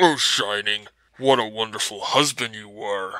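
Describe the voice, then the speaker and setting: A fairly low-pitched man at a moderate pace. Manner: gloating.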